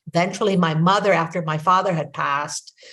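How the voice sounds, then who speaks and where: With a Filipino accent, the speaker talks at a moderate pace in a somewhat breathy, monotone, flat intonation. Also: woman. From Philippines. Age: 60s. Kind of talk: interview conversation.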